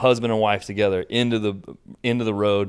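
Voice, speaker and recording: A man with an American accent speaks fairly slowly in a very clean recording with a silent background. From Kansas. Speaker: bike shop owner and race organizer. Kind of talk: casual chat. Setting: studio. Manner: animated.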